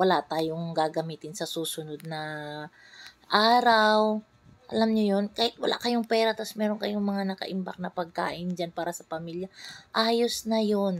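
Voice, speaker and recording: A woman with a Visayan accent, medium pitch and ordinary pitch variation, fairly slow pace, very clean recording with a silent background. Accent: Visayan accent in Tagalog. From Visayas, Philippines. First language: Cebuano/Bisaya (speaking Tagalog). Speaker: vlogger, mother. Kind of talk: casual vlog talk.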